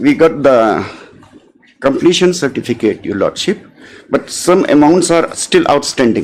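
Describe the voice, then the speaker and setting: This man is soft-spoken. He talks at a fairly slow pace. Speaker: advocate arguing in court. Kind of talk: court submission. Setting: courtroom.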